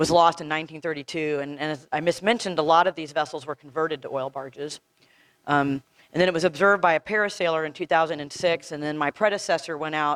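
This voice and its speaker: Speaking at a very fast pace with an American accent, a woman with a very deep, low pitch keeps her intonation fairly even while her loudness swings widely, in a dry, close sound with no echo. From East Texas. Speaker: marine archaeologist. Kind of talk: lecture.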